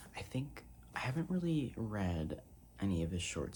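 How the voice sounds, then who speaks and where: Soft-spoken and relaxed in tone, a man talks with vocal fry. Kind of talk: ASMR soft-spoken ramble. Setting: casual talk to camera about a book haul. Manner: soft-spoken, relaxed, chatty.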